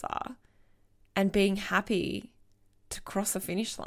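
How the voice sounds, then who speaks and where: A woman speaks at a medium pitch with vocal fry. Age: 30s. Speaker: podcast host, business coach. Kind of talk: inspirational monologue.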